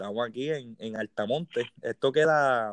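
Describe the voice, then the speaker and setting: A man with a plain, everyday voice speaks at medium pitch and a moderate pace, the sound dry and close with no echo and a quiet background. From Puerto Rico, Las Piedras. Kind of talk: casual interview chat.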